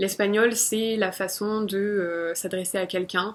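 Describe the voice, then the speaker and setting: The speaker is a woman. She talks with monotone, flat intonation. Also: very clean recording, silent background. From France. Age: 20s. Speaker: vlogger. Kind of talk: personal vlog monologue.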